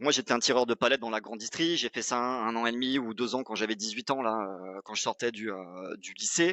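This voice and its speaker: The speaker moves at a fairly quick pace with hardly any pauses and ordinary pitch variation. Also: man, medium pitch for a man. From southwest France (Pau). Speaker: sales expert, former startup CEO. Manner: casual, hesitant with fillers.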